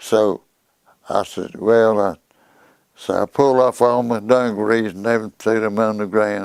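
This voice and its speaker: A man speaks in a Southern US accent at a moderate pace. His fairly low voice stays monotone and flat. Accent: Southern American. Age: 80s+. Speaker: war veteran. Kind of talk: interview answer. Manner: vivid storytelling.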